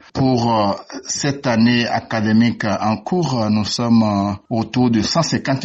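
A man speaks in a normal speaking voice. His pitch is fairly low, with ordinary pitch variation. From Benin. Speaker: university lecturer, sinologist. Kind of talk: radio interview.

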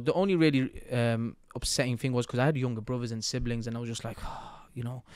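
This man has a medium-pitched voice with a Mancunian accent. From Manchester, England. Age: 30s. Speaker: business coach. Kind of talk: interview conversation. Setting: studio.

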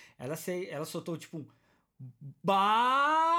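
A man in a strong São Paulo accent with an animated tone, lively intonation and a moderate pace, on a very clean recording with a silent background. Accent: paulista, strong. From São Paulo, Brazil. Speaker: podcast host. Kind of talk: casual chat. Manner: animated, slangy.

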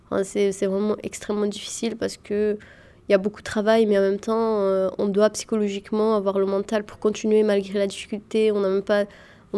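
A woman's voice with medium pitch and a dark, mellow tone, at a moderate pace. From Yemen. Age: 20s. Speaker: medical student. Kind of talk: interview. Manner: halting.

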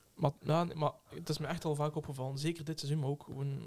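The voice is somewhat breathy, moving at a moderate pace with monotone, flat intonation. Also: man. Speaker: podcast co-host. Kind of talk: casual chat.

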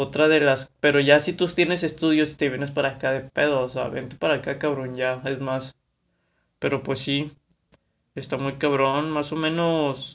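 This man speaks in a flat monotone at a moderate pace, his pitch fairly high. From Mexico, Monterrey, Nuevo León. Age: 20s. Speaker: podcaster. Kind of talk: casual monologue. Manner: halting, many fillers.

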